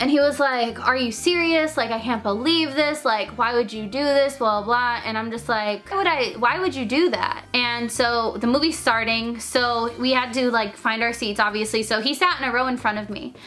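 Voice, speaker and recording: Speaking at a moderate pace with hardly any pauses, a woman uses a high pitch and ordinary pitch variation over noticeable background noise. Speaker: youtuber. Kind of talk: storytelling. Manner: animated.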